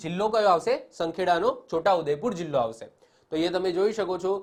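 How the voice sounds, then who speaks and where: His pitch is high for a man, with ordinary variation. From Gujarat, Pethapur near Gandhinagar. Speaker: exam-prep teacher. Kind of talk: lecture.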